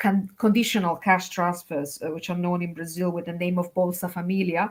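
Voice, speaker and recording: In a very clean recording with a silent background, a woman with an Italian accent speaks at medium pitch. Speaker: academic China specialist, poster judge. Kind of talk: conference feedback remarks. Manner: halting, many fillers.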